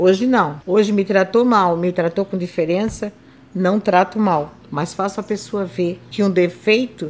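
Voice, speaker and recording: A woman with a plain, everyday voice, medium in pitch, at a moderate pace. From southern Brazil, Santa Catarina coast. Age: 60s. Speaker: retired civil servant and seamstress, wheelchair user. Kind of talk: interview testimony.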